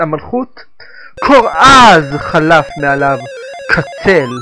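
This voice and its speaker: Music plays behind a man who speaks very slowly. His pitch swings very widely. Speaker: voice actor. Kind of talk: video game intro narration. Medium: dub.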